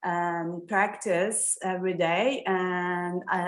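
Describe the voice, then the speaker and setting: A woman is speaking. She has a Turkish accent. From Turkey, Istanbul. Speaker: yoga student. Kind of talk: self-introduction in online class. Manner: halting.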